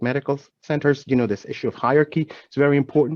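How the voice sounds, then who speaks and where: With a Spanish accent, a man talks at a fairly quick pace in a fairly high pitch with ordinary pitch variation, the sound dry and close with no echo. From Venezuela. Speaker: healthcare diversity executive. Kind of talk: panel discussion. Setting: webinar video call.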